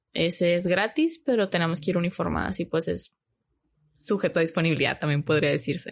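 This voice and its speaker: A woman's vocal fry at a fairly quick pace, very even in loudness, with ordinary pitch variation over a quiet background. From Mexico, Hermosillo, Sonora. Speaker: flight attendant. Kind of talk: casual interview.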